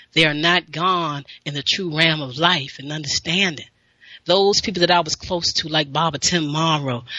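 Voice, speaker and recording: With fairly even intonation, a woman speaks at a moderate pace in a very deep, low pitch. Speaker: radio show host, health and wellness talker. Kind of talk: live radio show host talk.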